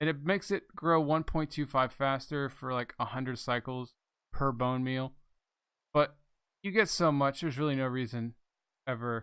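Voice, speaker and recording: Soft-spoken, mumbled speech with long, frequent pauses comes through a very clean recording with a silent background. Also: man, medium pitch for a man, ordinary pitch variation, moderate pace. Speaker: gaming video creator. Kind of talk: gameplay commentary. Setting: home recording desk. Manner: mumbling.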